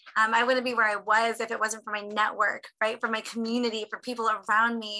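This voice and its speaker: A woman with a fairly high pitch talks at a fairly quick pace over noticeable background noise. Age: 30s. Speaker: motivational speaker. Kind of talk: motivational talk. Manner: animated.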